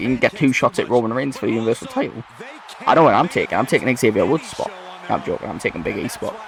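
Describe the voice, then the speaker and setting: A man with a Geordie accent speaks at a medium pitch. Background noise is noticeable. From northern England, Newcastle. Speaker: gaming video creator. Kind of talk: gameplay commentary.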